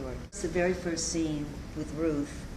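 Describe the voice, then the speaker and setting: A moderate pace in an American accent, with noticeable background noise. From US South, New Orleans. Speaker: stage actress. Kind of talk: interview. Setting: theatre set. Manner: animated.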